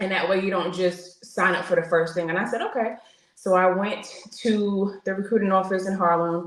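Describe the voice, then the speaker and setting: With noticeable background noise and audible room echo, a speaker with a New York accent talks at a moderate pace in a monotone, flat intonation. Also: woman, medium pitch for a woman. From New York (Queens). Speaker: military veteran. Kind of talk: interview testimony. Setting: podcast interview.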